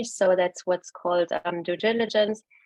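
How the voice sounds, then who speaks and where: Fairly even intonation with a German accent. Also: woman. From Germany. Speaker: venture capital investor. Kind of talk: webinar presentation. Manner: hesitant, many fillers.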